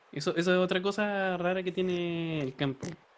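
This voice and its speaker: A man speaks with a Chilean accent in a very clean recording with a silent background. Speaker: podcast co-host. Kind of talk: casual comedic chat.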